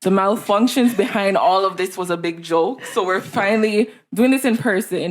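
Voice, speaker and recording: A woman speaks at a medium pitch. She goes at a fairly quick pace with hardly any pauses. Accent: Jamaican. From Jamaica. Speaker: podcast co-host. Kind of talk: casual chat. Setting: in person.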